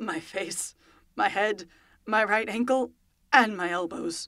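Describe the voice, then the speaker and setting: Hoarse and croaky, a woman's put-on character voice moves at a fairly slow pace with a medium pitch. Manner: croaking, pained.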